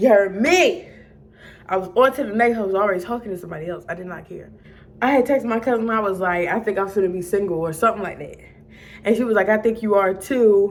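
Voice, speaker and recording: A woman with an American accent talks at a very fast pace. Her medium pitch has ordinary variation, while her loudness swings widely. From Maryland. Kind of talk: casual storytime to camera.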